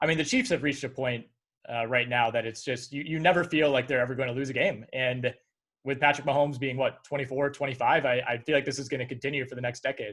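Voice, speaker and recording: With an American accent, a man speaks at a very fast pace. His pitch is medium and his intonation fairly even. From Wisconsin. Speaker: sports podcast host. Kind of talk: interview.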